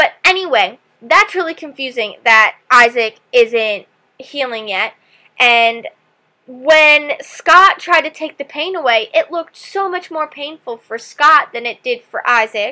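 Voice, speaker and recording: A woman with a high pitch projects a raised voice in a bright, sharp tone, with lively intonation. She speaks at a fairly slow pace, with big swings in loudness. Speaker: TV reaction vlogger. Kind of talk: TV episode reaction. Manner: animated.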